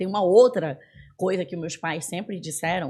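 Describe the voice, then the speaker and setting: A woman talks at a fairly quick pace in a dark, mellow tone. Her pitch varies in an ordinary way. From northern Brazil, Belém do Pará. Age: 40s. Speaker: business executive. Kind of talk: podcast interview.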